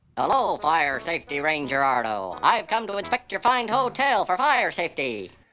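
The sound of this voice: A squeaky, put-on character voice sits at a middle pitch with very wide pitch swings. It moves at a moderate pace with hardly any pauses.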